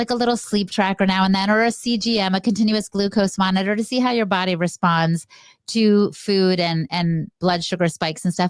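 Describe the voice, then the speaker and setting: A woman with an unremarkable speaking voice talks at a moderate pace, her medium pitch showing ordinary pitch variation. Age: 60s. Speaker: health podcaster. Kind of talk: interview.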